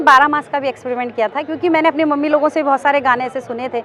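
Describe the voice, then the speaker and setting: Noticeable background noise sits behind a woman speaking in a high voice. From Mumbai. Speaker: folk singer. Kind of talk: interview answer.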